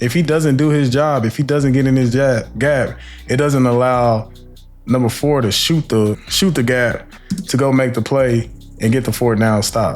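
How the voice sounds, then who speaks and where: Over music in the background, a man talks at a medium pitch. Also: very even loudness. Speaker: former NFL player breaking down game film. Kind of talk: film breakdown commentary. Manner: fast; animated.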